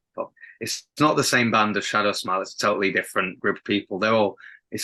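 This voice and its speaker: A man's bright, sharp, fairly low voice at a very fast pace, with ordinary pitch variation and a quiet background. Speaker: rock band singer. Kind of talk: casual interview chat. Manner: halting, many repeated words.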